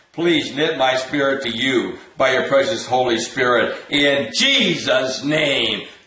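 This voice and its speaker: There is audible room echo as a man speaks with an intense tone at a very slow pace. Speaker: deliverance minister leading viewers in prayer. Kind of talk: fervent prayer and commanding spiritual warfare, repeating commands; interactive deliverance session. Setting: online video. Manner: intense, insistent, forceful, repetitive. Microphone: webcam.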